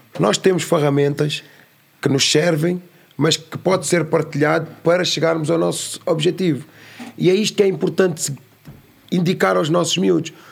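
This man's voice has vocal fry and a fairly high pitch, with ordinary pitch variation. He talks at a moderate pace, broken by long, frequent pauses. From Lisbon area, Portugal (Amadora), born in São Tomé. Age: adult. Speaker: youth educator, founder of a youth academy. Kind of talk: casual interview.

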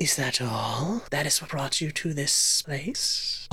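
This is a put-on character voice in a low-to-middle pitch. It moves at a fairly slow pace. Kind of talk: fantasy creature roleplay. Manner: calm, probing, questioning.

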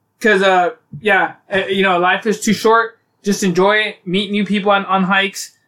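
Flat and monotone, a man's raised, projected voice comes through at a high pitch with a bright, sharp tone. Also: moderate pace. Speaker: podcast host. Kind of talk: casual chat.

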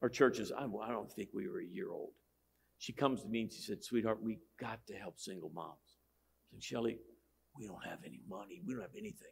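A man moves at a fairly quick pace, his speech broken by long, frequent pauses and big swings in loudness. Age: 60s. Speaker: pastor. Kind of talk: sermon.

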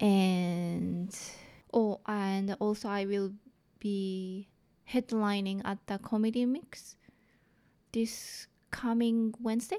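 On a very clean recording with a silent background, a woman with a strong Japanese accent speaks at a very slow pace with long, frequent pauses. Her medium-pitched voice has a dark, mellow tone and fairly even intonation. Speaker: comedian. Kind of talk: casual interview. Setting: studio.

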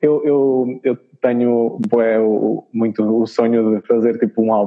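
This man talks at a medium pitch. His pitch varies in an ordinary way. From northern Portugal, Chaves. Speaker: singer-songwriter. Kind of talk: interview. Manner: hesitant, repetitive. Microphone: robotic, choppy connection.

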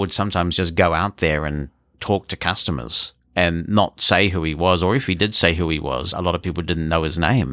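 Here a man speaks with a New Zealand accent in a bright, sharp tone at a moderate pace. The recording is very clean with a silent background and a dry, close sound with no echo. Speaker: assistive technology expert. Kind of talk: interview.

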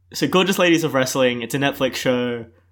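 The speaker uses a playful tone. The recording is very clean, with a silent background. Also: man. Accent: Australian. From Melbourne, Australia. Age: 20s. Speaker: bartender and student. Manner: joking, playful.

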